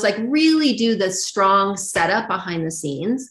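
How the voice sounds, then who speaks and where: Speaking at a moderate pace in a medium pitch, a woman with an American accent has an unremarkable speaking voice. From Arizona, US. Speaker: yoga teacher trainer. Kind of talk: interview.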